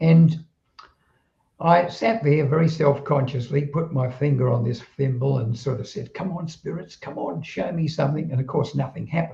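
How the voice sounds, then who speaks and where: A man's somewhat breathy voice with a dark, mellow tone, fairly high pitch, ordinary pitch variation and a moderate pace. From southeast London, England, then Australia from age 15. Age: 80s+. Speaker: retired telecommunications worker, automatic writer. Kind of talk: interview storytelling. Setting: live stream conversation.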